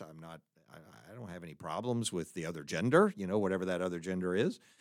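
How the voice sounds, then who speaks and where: A man with an American accent at a very fast pace on a very clean recording with a silent background. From Texas, Fort Worth. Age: 60s. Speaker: college president and pastor. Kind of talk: solo monologue podcast.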